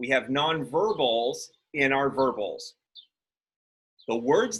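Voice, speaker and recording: Loud and at a very slow pace, a man talks with very wide pitch swings. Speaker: college instructor. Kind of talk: lecture.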